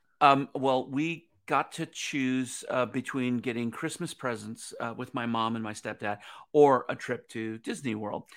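A man talks in a plain, everyday voice at a medium pitch, fairly slow, with hardly any pauses. His intonation is fairly even, and the recording is very clean with a silent background. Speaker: former theme park designer, business consultant. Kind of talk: interview. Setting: live-streamed show.

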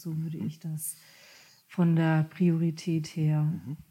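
Somewhat breathy and dark, mellow in tone, the voice moves at a fairly slow pace. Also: woman. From Germany, Kurpfalz region. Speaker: coach and mediator. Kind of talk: podcast interview.

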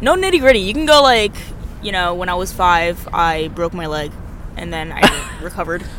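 Her pitch fairly low, a woman speaks at a moderate pace with lively intonation, an animated tone and big swings in loudness, over noticeable background noise. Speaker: podcast host. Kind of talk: casual chat. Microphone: too far from the mic.

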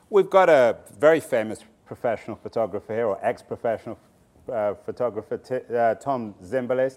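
A man speaks at a fairly quick pace in an ordinary speaking voice, medium in pitch, with lively intonation. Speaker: moderator and author. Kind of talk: interview on stage. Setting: stage with audience.

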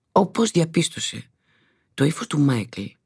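A woman speaks at a fairly slow pace in a very deep, low voice with vocal fry. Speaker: actress reading the novel excerpts. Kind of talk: literary audiobook reading, narrated prose passages from the novel. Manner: measured, smooth and expressive narration.

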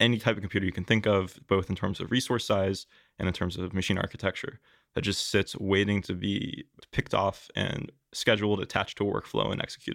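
A man talks very fast in a fairly low, monotone voice with vocal fry. The recording is very clean and dry, with a silent background and no echo. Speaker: biotech startup founder. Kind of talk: interview.

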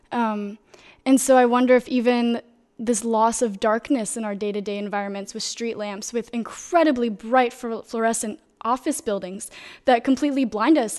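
Speaking at a moderate pace, a woman uses a fairly high pitch and fairly even intonation in an unremarkable speaking voice. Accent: American. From US South, Florida. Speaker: philosophy student. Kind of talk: panel discussion. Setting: studio.

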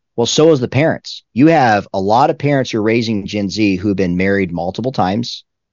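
This is a plain, everyday voice, moving at a fairly quick pace. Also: man. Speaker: pastor and author. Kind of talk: interview.

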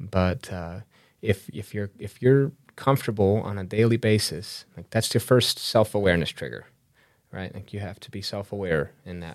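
A man with an American accent speaks in a normal speaking voice at a moderate pace, with a fairly low pitch and ordinary pitch variation, on a very clean recording with a silent background. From Chicago, US Midwest. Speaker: entrepreneur and National Guard member. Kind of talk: podcast interview. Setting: in-person studio interview.

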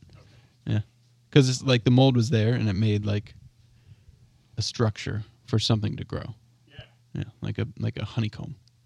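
A man with a fairly low voice speaks at a moderate pace, his intonation fairly even and his tone somewhat breathy. His loudness swings widely, long pauses come often, and the sound is dry and close with no echo. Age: 30s. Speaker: local food advocate and farm delivery partner. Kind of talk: casual chat.

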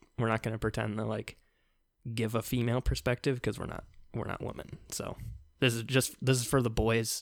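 Speaking at a fairly quick pace, a man with medium pitch and vocal fry keeps a monotone, flat intonation. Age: 20s. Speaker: podcast co-host. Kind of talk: casual chat.

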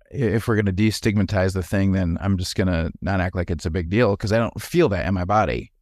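This man has a fairly low pitch and ordinary pitch variation. He moves at a fairly quick pace in a very clean recording with a silent background. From Wisconsin, US. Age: 40s. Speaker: former pastor, healthcare administrator. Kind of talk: casual conversational interview.

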